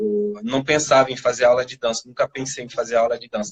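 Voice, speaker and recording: This is a man talking. He keeps a moderate pace. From France. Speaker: violinist. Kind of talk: interview answer.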